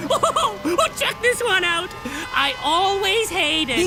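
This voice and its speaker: Over loud background noise, a cartoonish character voice with an extremely high pitch moves at a fairly slow pace. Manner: gloating.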